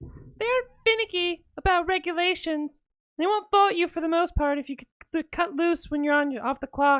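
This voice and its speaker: The put-on character voice rides an extremely high pitch at a moderate pace. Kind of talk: amateur girly put-on voice. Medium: game stream. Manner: cheerful, friendly.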